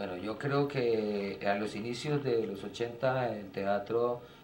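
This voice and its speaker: Over noticeable background noise and audible room echo, a man with a fairly low pitch speaks at a very slow pace with fairly even intonation. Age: 60s. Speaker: theatre director. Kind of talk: interview. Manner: hesitant, many fillers.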